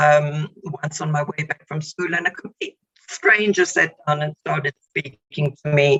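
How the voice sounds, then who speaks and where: A woman with a South African accent speaks at a fairly slow pace in a very deep, low voice, her intonation fairly even. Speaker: psychologist. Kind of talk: radio interview. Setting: radio show.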